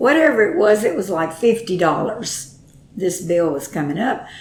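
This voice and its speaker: In a room with audible echo, a woman with a Texan accent and a medium pitch speaks at a moderate pace. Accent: Texas Southern. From Texas. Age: 80s+. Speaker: grandmother interviewed about her life. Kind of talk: oral history interview. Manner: halting.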